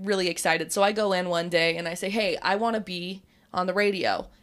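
In an American accent, a woman with an ordinary speaking voice talks at a fairly quick pace, her medium pitch held fairly even. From Utah. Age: 20s. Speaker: radio DJ. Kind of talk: casual chat.

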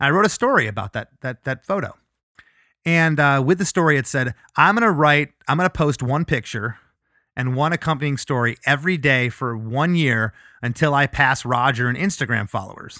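On a very clean recording with a silent background, a man with a fairly high pitch speaks at a moderate pace in a bright, sharp, animated tone, the sound dry and close with no echo. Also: lively intonation. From Florida. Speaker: punk band musician. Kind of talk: casual interview. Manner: animated storyteller.

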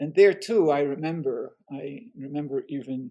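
Speaking in a French accent, a man has a fairly high pitch and a dark, mellow tone. His pace is fairly slow. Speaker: history professor and author. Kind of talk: interview.

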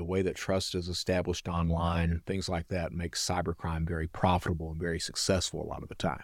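A man with an Appalachian accent and a very deep, low pitch. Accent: Southern US (Appalachian). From US South, eastern Kentucky (Hazard). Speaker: reformed cybercriminal, security consultant and speaker. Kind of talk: interview, personal storytelling.

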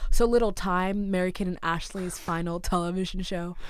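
A woman speaks with an American accent and fairly even intonation. Room echo is audible. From Massachusetts. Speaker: comedian and writer. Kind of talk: casual chat. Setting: studio.

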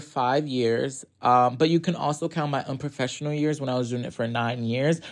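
In an unremarkable speaking voice, a man with an American accent talks at a fairly quick pace with ordinary pitch variation against a quiet background. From US Northeast, Hartford, Connecticut. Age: 20s. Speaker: musician. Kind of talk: casual interview.

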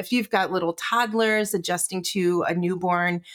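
A woman with a normal speaking voice and fairly low pitch talks at a fairly slow pace on a very clean recording with a silent background. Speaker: herbalist. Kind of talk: casual interview chat.

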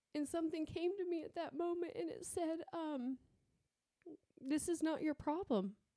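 Her pitch extremely high, a woman talks at a moderate pace with a dark, mellow tone, lively intonation, and long, frequent pauses. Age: 40s. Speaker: cancer patient sharing faith story. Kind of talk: testimony.

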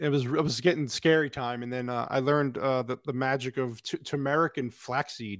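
With an American accent and hardly any pauses, a man keeps a moderate pace and fairly even intonation at medium pitch in a very clean recording with a silent background. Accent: Italian Brooklyn. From Brooklyn, New York. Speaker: podcast guest. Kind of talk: casual chat.

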